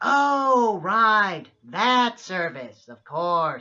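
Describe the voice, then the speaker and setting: This is a put-on character voice. The pitch is fairly high. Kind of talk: comic overacting. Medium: comedy sketch. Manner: hesitant, bumbling.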